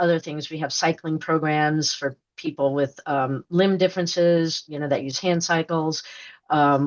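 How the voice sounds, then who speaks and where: A woman speaks with an American accent in a very deep, low voice. Her intonation is fairly even and her pace fairly slow. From New York. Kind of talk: podcast interview. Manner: rambling, many fillers and restarts.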